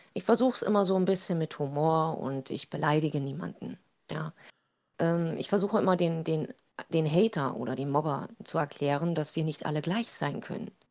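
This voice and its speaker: A woman with a very deep, low pitch talks with ordinary pitch variation. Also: moderate pace. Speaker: TikTok creator. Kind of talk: interview. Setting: video call.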